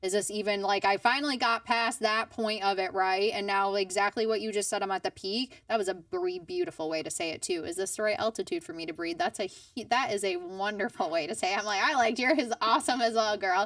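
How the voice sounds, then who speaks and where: A woman's animated, medium-pitched voice, very fast with lively intonation and hardly any pauses. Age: 30s. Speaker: podcast host. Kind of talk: interview conversation.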